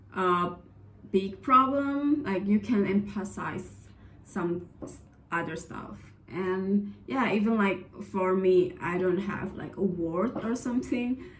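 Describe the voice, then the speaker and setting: A woman at medium pitch talks at a very slow pace with lively intonation, and audible room echo surrounds her voice. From Indonesia. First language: Indonesian. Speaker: vlogger, scholarship applicant. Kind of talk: casual advice vlog. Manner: hesitant, many fillers.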